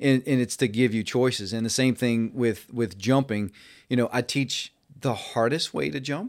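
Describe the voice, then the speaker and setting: Here a man talks at a moderate pace in a medium pitch. He has a normal speaking voice, and the recording is very clean with a silent background. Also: ordinary pitch variation. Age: 50s. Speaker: mountain bike coach and academy founder. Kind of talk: casual interview.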